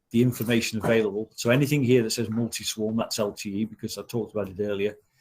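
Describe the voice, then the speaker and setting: A man talks at a very fast pace. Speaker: technical trainer. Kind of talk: online training session.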